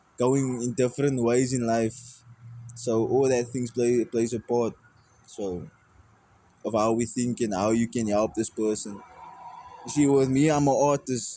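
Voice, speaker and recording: At a fairly slow pace, a man with a medium pitch keeps a fairly even intonation and leaves long, frequent pauses. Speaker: musician. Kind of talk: casual chat. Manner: halting.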